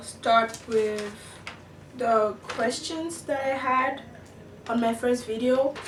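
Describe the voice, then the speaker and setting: Speaking very slowly with a non-native accent, a woman uses a fairly high pitch. Noticeable background noise and audible room echo fill the recording. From outside the US. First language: not English. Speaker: international student vlogger. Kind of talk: casual vlog. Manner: hesitant, many fillers.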